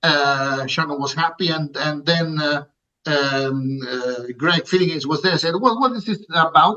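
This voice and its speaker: Speaking with an Italian accent, a man uses a fairly high pitch, ordinary pitch variation and a moderate pace. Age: 60s. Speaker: music producer. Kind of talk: interview. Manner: halting.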